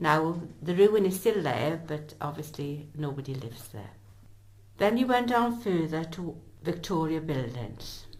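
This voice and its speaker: With a South Welsh accent, a woman speaks at a fairly slow pace in a very deep, low pitch, with very wide pitch swings, big swings in loudness, and audible room echo. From south Wales, Bridgend area. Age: 70s. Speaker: local historian. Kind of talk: oral history narration. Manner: conversational.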